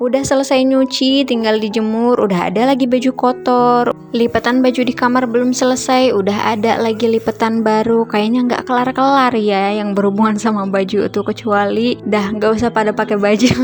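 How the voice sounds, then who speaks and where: A woman's fairly high voice at a fairly quick pace with hardly any pauses, fairly even intonation and very even loudness, over noticeable background noise. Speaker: vlogger, stay-at-home mother. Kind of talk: voice-over narration, casual vlog. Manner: casual, conversational.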